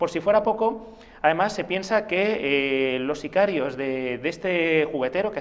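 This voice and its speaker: At a fairly slow pace, a man speaks in a fairly high pitch. His pitch variation is ordinary. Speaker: author of a role-playing game book. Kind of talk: TV interview. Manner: hesitant, many fillers.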